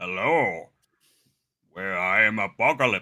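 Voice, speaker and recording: A man's put-on character voice, fairly low-pitched and fairly slow. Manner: villainous, grandiose.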